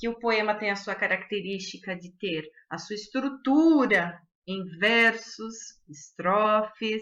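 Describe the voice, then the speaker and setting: Speaking very slowly at a fairly high pitch, a woman has a bright, sharp tone, ordinary pitch variation and big swings in loudness. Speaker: schoolteacher. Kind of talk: recorded online lesson.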